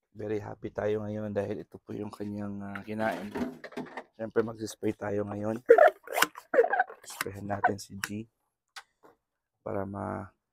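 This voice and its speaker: Over loud background noise, a man speaks fairly slowly in a fairly low, monotone, flat voice with big swings in loudness and long, frequent pauses, the sound dry with no echo. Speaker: pet vlogger. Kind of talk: casual vlog commentary. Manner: soft-spoken, quieter than usual; naturally loud voice. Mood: warm, affectionate, grateful. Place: home room. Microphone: phone near.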